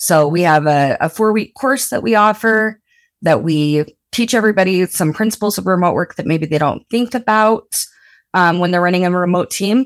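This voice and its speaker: A woman speaks with an American accent in an ordinary speaking voice, medium in pitch, with lively intonation at a moderate pace. The recording is very clean, with a silent background. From rural Utah (Blanding). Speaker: remote work program coordinator. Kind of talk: podcast interview.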